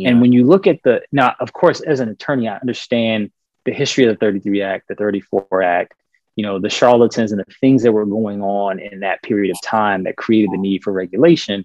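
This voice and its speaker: In an ordinary speaking voice, a man talks with an American accent at a fairly quick pace. His pitch is fairly low with ordinary variation, and the sound is dry and close with no echo. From US South, Richmond, Virginia. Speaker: lawyer and investor. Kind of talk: podcast interview. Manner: frequent fillers (um, uh).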